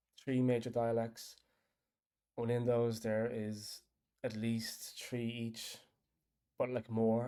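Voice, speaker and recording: In a strong Irish accent, a man speaks at a fairly slow pace with a medium pitch. His tone is dark and mellow, his intonation monotone and flat. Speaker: app developer. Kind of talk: casual chat. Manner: rambling, hesitant.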